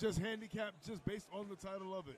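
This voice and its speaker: Here a man with an American accent talks at a high pitch. His tone is animated and his pace fairly quick. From New York. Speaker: bowling commentator. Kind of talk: live commentary.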